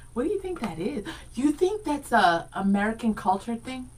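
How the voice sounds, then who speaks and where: An animated woman's voice, fairly high, with very wide pitch swings at a moderate pace, noticeable background noise. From Rhode Island, US (born Dominican Republic). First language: Spanish. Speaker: radio co-host. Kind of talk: casual chat.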